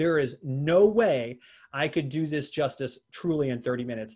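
The pitch varies in an ordinary way. The background is quiet. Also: man. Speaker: sales trainer and webinar presenter; sales trainer, webinar presenter. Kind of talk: webinar presentation. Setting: video webinar. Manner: fast. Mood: friendly, self-deprecating. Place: office. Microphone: video call.

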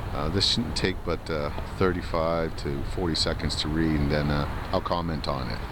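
Against noticeable background noise, a man with a very deep, low voice speaks fairly slowly and fairly evenly, the sound dry with no echo. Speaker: political commentator. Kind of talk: vlog monologue. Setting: outdoors. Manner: hesitant, many fillers. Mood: casual, opinionated. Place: waterside.

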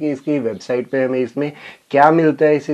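Intonation stays monotone and flat. The pace is moderate. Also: man. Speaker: tech youtuber. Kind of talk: unboxing review. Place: home room.

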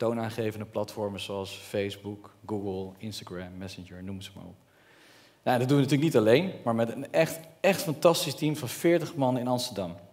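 A man at medium pitch speaks at a moderate pace with big swings in loudness. His background is quiet. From Netherlands, Brabant; Netherlands. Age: 30s. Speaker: entrepreneur; speaker. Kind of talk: public speech. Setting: stage with audience. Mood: earnest, personal storytelling. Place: stage. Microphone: headset.

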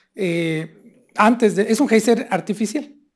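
Quiet surrounds the recording. The man's intonation is lively. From Mexico, Hidalgo (Pachuca area); Hidalgo, Mexico. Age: 50s. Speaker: state tourism official; presenter. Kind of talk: lecture. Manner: animated. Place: hall. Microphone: podium.

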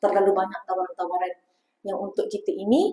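Recorded dry and close with no echo, a woman speaks. Her pace is moderate. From Selangor, Malaysia. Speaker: religious teacher. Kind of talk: religious lecture.

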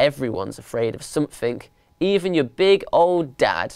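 Put-on character voice, clear, smooth and slightly mellow, with big pitch swings at a moderate pace. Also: woman, extremely low pitch for a woman.

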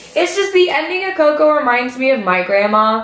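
A woman is speaking. The room echo is audible. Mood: playful, laughing. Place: home room.

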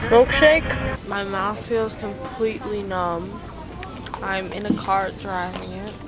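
A woman at a very slow pace, with loud background noise. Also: ordinary pitch variation. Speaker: vlogger. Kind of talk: casual vlog chat. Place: shop. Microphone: phone near.

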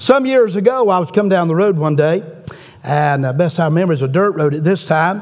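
A man's high-pitched voice at a fairly quick pace. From Southern United States. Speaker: preacher. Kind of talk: sermon. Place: church. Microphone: podium.

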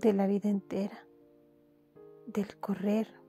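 A woman speaks in a calm tone. Music plays in the background. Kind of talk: poetry reading. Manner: soft-spoken, calm, slow.

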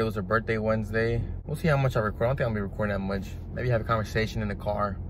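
Over noticeable background noise, a man speaks at a fairly low pitch in a dry sound with no echo. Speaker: vlogger. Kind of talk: casual vlog chat. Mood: earnest, urging. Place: car. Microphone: phone near.

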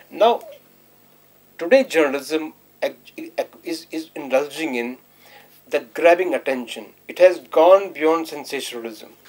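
Lively intonation marks this speaker with an Indian accent, who goes at a fairly slow pace with long, frequent pauses. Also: man, fairly high pitch for a man, big swings in loudness. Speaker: professor. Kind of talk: panel discussion. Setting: studio.

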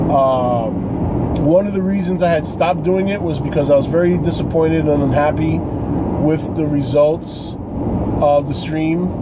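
Loud background noise sits under a man's voice. He talks at a fairly slow pace with ordinary pitch variation. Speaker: vlogger. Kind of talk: casual vlog chat. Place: car. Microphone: phone near.

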